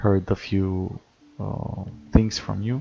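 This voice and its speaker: A man with a non-native accent, fairly low pitch and a very slow pace. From Romania. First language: not English. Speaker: gaming streamer. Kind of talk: live stream chat. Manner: hesitant with many fillers.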